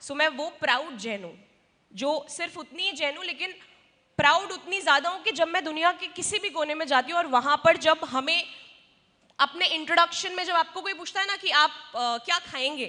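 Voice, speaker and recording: With a bright, sharp tone and an extremely high pitch, a woman speaks in a raised, projected voice at a moderate pace, her pitch variation ordinary. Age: 30s. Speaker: community organization speaker. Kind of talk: convention speech.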